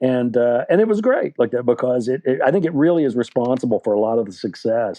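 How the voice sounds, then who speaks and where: This man has an unremarkable speaking voice with an American accent. His medium pitch carries ordinary variation at a fairly quick pace. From West Virginia, USA. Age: 60s. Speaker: novelist. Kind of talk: interview answer. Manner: casual, rambling.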